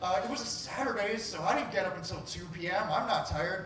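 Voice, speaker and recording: A man speaks in a high voice. Audible room echo and light background noise surround him. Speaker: storyteller. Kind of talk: live personal storytelling. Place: stage.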